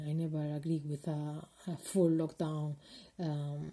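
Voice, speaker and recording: A woman with a Spanish accent speaks at a fairly slow pace in a very deep, low pitch, her somewhat breathy voice dark and mellow in tone. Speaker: video blogger. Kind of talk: personal vlog monologue. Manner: halting, many fillers.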